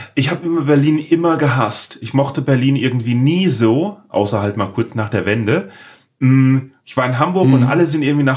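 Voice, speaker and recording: Somewhat breathy, a man's voice holds a medium pitch with ordinary pitch variation. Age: 40s. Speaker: podcast host. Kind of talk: casual interview chat. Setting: home office.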